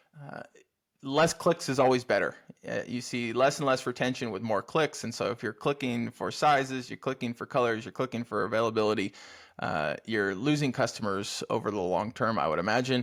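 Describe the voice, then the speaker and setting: In an American accent and an unremarkable speaking voice, a man talks at a fairly quick pace and medium pitch with ordinary pitch variation, on a very clean recording with a silent background. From United States. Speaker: podcast host. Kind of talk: podcast interview.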